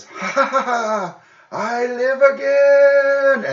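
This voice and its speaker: High-pitched and put-on, this is a character voice. It moves at a very slow pace. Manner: gleeful, cackling.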